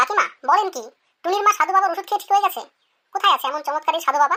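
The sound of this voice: A woman does a squeaky, cartoonish character voice, extremely high in pitch. She talks very fast with lively intonation.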